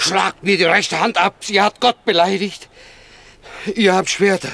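A man puts on a character voice, high in pitch with a bright, sharp tone. He talks at a fairly slow pace with vocal fry and fairly even intonation.

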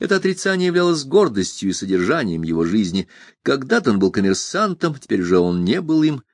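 What comes through is a natural reading voice.

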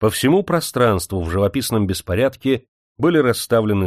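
In a natural reading voice with lively intonation, the speaker reads over a quiet background.

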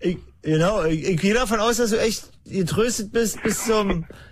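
Audible room echo surrounds a man speaking at a moderate pace, his pitch high with ordinary variation.

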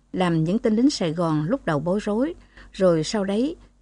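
Lively intonation runs through the delivery. It is an unforced reading voice.

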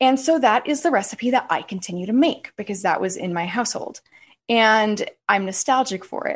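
In an American accent, an unremarkable speaking voice talks at a moderate pace with lively intonation. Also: woman, fairly high pitch for a woman. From US West. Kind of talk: casual interview chat.

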